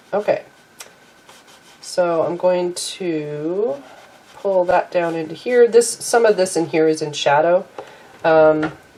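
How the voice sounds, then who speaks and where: A woman speaking very slowly in a fairly low pitch, with long, frequent pauses and noticeable background noise. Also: ordinary pitch variation. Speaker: watercolor artist and teacher. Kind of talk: painting tutorial.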